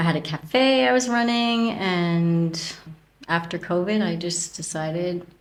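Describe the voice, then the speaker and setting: A woman with a Canadian accent, fairly low in pitch with lively intonation, at a fairly slow pace over noticeable background noise. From Canada. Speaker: podcast guest, expat. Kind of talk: interview.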